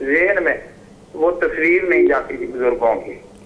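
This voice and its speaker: Audible room echo around a high-pitched male voice with ordinary variation in pitch. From Pakistan, Punjab (Vehari). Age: 70s. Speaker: caller. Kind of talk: call-in question. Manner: halting, stammering.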